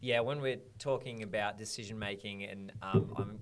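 With music in the background, a man speaks with an Australian accent and fairly even intonation. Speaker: podcast host. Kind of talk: casual interview chat.

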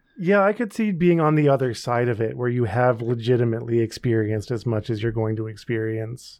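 The man here has an ordinary speaking voice with ordinary pitch variation. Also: medium pitch for a man. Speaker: podcast host. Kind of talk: casual banter.

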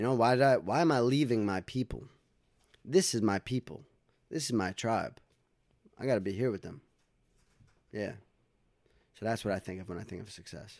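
A man with a New York accent talks at a fairly quick pace with ordinary pitch variation, yet leaves long, frequent pauses. The recording is very clean, with a silent background. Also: medium pitch for a man. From New York, Westchester County (Dobbs Ferry). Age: 20s. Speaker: recording studio owner and recording artist. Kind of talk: casual interview chat.

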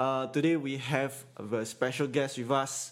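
Heard over a silent background in a very clean recording, a man with a Singaporean accent speaks at a fairly high pitch. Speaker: podcast host. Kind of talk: casual chat. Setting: live stream.

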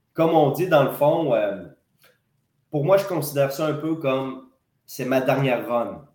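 A man speaks at a fairly high pitch with ordinary pitch variation and long, frequent pauses. Audible room echo surrounds the voice. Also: moderate pace. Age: 30s. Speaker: wrestling promoter and wrestler. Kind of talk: casual interview.

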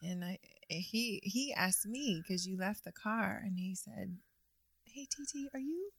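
A woman with a fairly high pitch uses lively intonation in a somewhat breathy voice. She talks at a fairly slow pace with long, frequent pauses. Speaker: guest, host's wife. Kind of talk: casual conversation. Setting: studio.

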